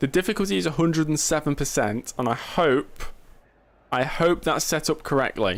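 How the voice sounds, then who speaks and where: A man's fairly high voice with vocal fry and lively intonation, at a moderate pace, in a very clean recording with a silent background. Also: very even loudness. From England, Nottingham. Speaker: gaming streamer. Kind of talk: live gameplay commentary. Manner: casual, chatty.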